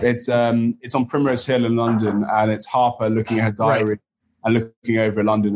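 A man with an English accent. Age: 30s. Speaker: TV show co-creator. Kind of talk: casual chat.

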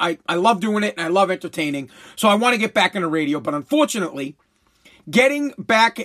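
This is a put-on character voice, raspy and middle in pitch. It races along at a very fast pace. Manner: radio voice.

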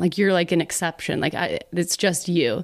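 A woman with an American accent speaks at a moderate pace in a normal speaking voice of medium pitch. The recording is very clean, with a silent background. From Texas, Dallas. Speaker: YouTuber and director. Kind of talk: casual chat.

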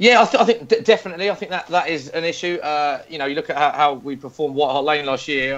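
The delivery comes at a very fast pace with ordinary pitch variation. Noticeable background noise runs underneath. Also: man. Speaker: football pundit and TV presenter. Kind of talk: panel discussion, casual football chat.

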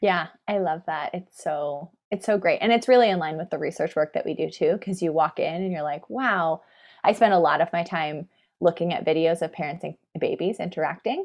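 Fairly quick and fairly low, a woman with an American accent talks with ordinary pitch variation. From San Francisco, US. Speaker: psychology PhD student and former teacher. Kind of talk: casual interview.

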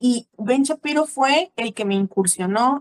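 A woman's lively intonation in a dry, close sound with no echo. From Mexico. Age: 30s. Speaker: church teacher. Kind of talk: interview.

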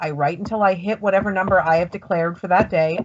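This woman talks at a fairly quick pace. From California. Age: 40s. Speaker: author. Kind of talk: casual chat.

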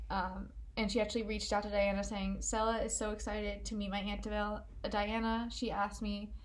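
A woman speaks fairly quickly amid noticeable background noise, her voice carrying audible room echo. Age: 20s. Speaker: true crime podcast co-host. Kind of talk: casual chat, narrating a crime case.

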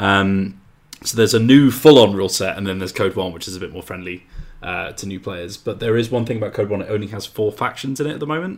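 A man speaks at a very fast pace. His voice is fairly low. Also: ordinary pitch variation, big swings in loudness. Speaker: podcast co-host, tabletop games writer. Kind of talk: casual chat.

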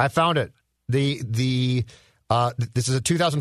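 An ordinary speaking voice moves at a fairly slow pace. The background is quiet. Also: man. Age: 50s. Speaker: podcast co-host. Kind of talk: casual chat.

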